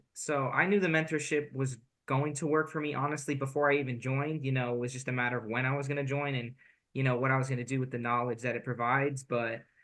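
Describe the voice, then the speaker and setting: Over a quiet background, a bright, sharp voice races along at a very fast pace with ordinary pitch variation. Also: man. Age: 18. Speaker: college student and online seller. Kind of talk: interview. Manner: casual, with many fillers.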